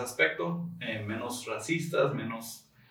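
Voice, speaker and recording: The voice speaks at a very slow pace with a bright, sharp tone. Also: man. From Tijuana, Mexico. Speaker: podcast guest. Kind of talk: casual chat.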